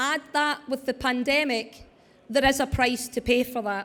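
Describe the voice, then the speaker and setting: This woman talks loudly and fairly slowly, her high-pitched voice keeping a fairly even intonation. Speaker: wellbeing speaker. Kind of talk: conference talk. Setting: stage with audience.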